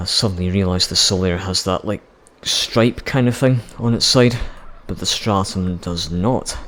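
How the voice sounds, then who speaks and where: Fairly low pitch from a man, with noticeable background noise. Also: ordinary pitch variation, moderate pace. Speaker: gaming YouTuber. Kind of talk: gameplay commentary.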